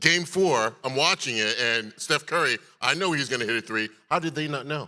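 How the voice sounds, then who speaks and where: Loud and with a bright, sharp tone, a man speaks at a fairly high pitch. His pitch variation is ordinary. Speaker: TV personality and gala emcee. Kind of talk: live event hosting. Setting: gala stage with audience. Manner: fast.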